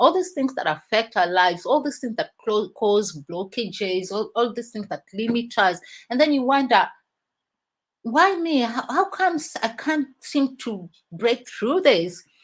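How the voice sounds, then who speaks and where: A woman at a fairly high pitch and fairly slow pace, her pitch swinging very widely. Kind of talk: motivational talk on a live stream.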